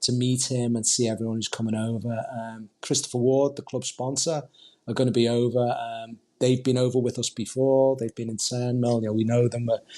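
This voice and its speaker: With a Liverpool accent, a man at a medium pitch speaks at a fairly quick pace in a dark, mellow tone with monotone, flat intonation. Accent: Liverpool (Scouse). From Liverpool, England (Huyton). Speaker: football supporters group representative. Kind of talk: podcast interview.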